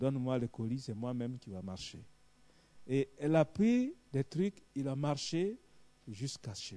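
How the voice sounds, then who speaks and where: A man's medium-pitched voice with a dark, mellow tone, lively intonation, big swings in loudness, a fairly slow pace and long, frequent pauses. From Côte d'Ivoire. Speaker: visiting preacher. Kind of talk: sermon with personal testimony. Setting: church evening vigil. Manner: animated.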